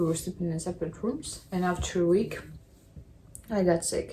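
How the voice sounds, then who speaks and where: A woman with a Russian accent speaks at a moderate pace in a fairly low, somewhat breathy voice with a dark, mellow tone and fairly even intonation. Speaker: vlogger. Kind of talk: casual vlog monologue.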